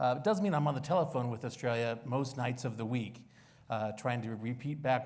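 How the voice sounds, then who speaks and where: A man with an American accent talking at a very fast pace with ordinary pitch variation. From United States. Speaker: think tank senior fellow, panelist. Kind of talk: panel discussion.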